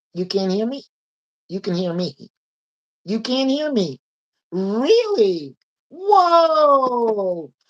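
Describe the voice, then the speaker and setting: At a very slow pace with long, frequent pauses, a woman speaks in a fairly high pitch that makes very wide pitch swings. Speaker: podcast host. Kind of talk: casual chat.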